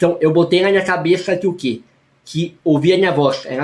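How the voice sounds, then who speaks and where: Pitched high for a man, his voice moves at a moderate pace with fairly even intonation. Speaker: youtuber and teacher. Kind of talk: personal vlog testimony.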